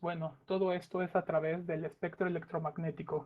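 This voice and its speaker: A man's high-pitched voice at a moderate pace, monotone and flat in intonation. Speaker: remote sensing specialist. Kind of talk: conference talk. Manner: hesitant, many fillers.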